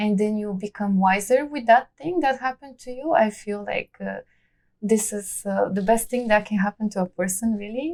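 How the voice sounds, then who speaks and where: A woman with a Bulgarian accent talks at a moderate pace in a fairly high pitch with ordinary pitch variation, the sound dry and close with no echo. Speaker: immigrant artist and belly dancer. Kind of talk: interview. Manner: halting, many fillers.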